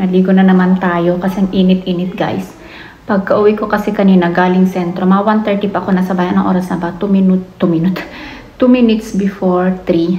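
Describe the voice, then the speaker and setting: Heard over noticeable background noise and audible room echo, a woman talks at a medium pitch. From Philippines. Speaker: family vlogger. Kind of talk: casual vlog talk. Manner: soft-spoken.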